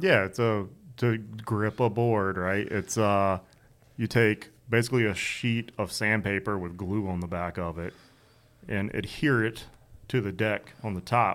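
A man with an American accent has a plain, everyday voice, a fairly low pitch and fairly even intonation. The recording is very clean, with a silent background. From North Carolina. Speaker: DJ. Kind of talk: casual chat.

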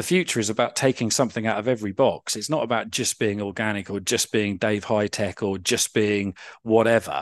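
Fairly quick and with hardly any pauses, a man speaks in a southern English accent at a fairly low pitch with ordinary pitch variation. The sound is dry and close with no echo, over a quiet background. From Surrey, England. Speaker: farmer and former radio journalist. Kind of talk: interview conversation.

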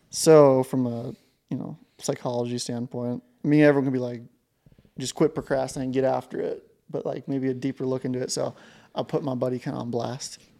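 A man with an American accent speaks fairly quickly at medium pitch in a dark, mellow tone with monotone, flat intonation, on a very clean recording with a silent background. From southeast Montana. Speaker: podcast host. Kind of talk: casual chat.

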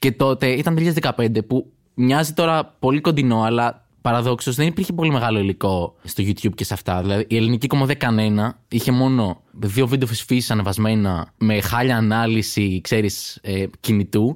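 Recorded very cleanly over a silent background, a man with an unremarkable speaking voice talks at a moderate pace and medium pitch, with very even loudness and ordinary pitch variation. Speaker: stand-up comedian. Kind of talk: casual interview chat.

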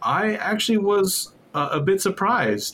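This is a man talking at a moderate pace. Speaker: podcast co-host. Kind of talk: casual chat.

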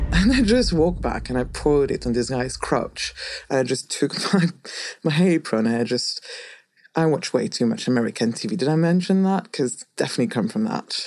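Vocal fry at a moderate pace with very wide pitch swings, in a French accent. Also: woman, very deep, low pitch for a woman. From France. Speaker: script supervisor. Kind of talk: interview storytelling. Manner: animated.

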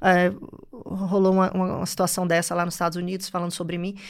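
This woman, with a northeastern Brazilian accent, talks very fast in an animated tone at a medium pitch. The recording is very clean, with a silent background. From Bahia, Brazil (Salvador / interior). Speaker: finance entrepreneur. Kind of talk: interview conversation.

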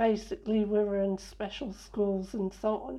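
Her tone is dark and mellow at a medium pitch. The woman keeps to a fairly slow pace. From northern England, Sheffield. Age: 60s. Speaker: blind interviewee, former physiotherapist. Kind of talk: interview.

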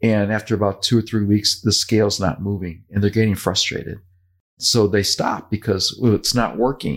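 A man with an unremarkable speaking voice talks at a moderate pace, his fairly low pitch held in fairly even intonation, on a very clean recording with a silent background. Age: 60s. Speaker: podcast host, weight loss author. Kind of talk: casual chat.

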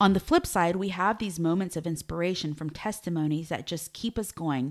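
A woman speaks in a normal speaking voice, fairly low in pitch with ordinary pitch variation. The recording is very clean, with a silent background. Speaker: ministry director and podcast host. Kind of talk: interview discussion.

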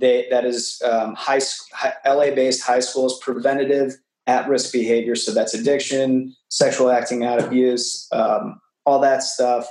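A man with a normal speaking voice at a medium pitch, at a fairly slow pace, with very even loudness and fairly even intonation. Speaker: actor and teacher. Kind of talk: casual interview chat.

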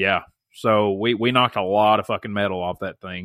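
Delivered with an American accent, a man's ordinary speaking voice sits fairly low, moving at a moderate pace with fairly even intonation. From US South. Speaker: podcast host and school teacher. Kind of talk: casual chat.

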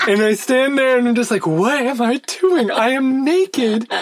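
Against noticeable background noise, a man with an American accent and an extremely high pitch talks at a moderate pace. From United States. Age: 30s. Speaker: podcast co-host. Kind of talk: casual chat.

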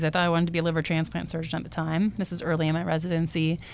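A woman speaks with a Californian accent, fairly low in pitch. The recording is very clean, with a silent background. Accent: General American (Californian). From Southern California (Coronado, San Diego). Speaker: surgeon and research scientist. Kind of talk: interview. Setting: podcast studio.

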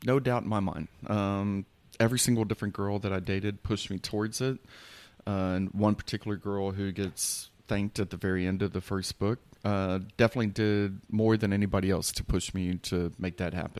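Delivered with an American accent at a fairly quick pace, a plain, everyday voice with fairly even intonation comes through a very clean recording with a silent background. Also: man, fairly low pitch for a man. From Houston, Texas. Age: 40s. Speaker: poet and author. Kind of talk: casual chat.

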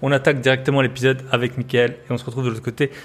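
A somewhat breathy man on a very clean recording with a silent background. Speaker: podcast host. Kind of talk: casual interview chat.

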